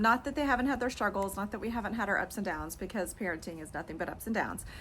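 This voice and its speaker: Amid noticeable background noise, a woman with a Texan accent speaks in an animated tone. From East Texas. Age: 40s. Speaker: lifestyle and fashion video creator. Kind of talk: casual personal vlog monologue.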